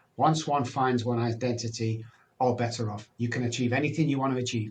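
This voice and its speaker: A man speaks at a fairly quick pace. His voice is medium in pitch and somewhat breathy. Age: 60s. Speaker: addiction recovery speaker and doctor. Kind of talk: podcast interview. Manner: conversational with fillers.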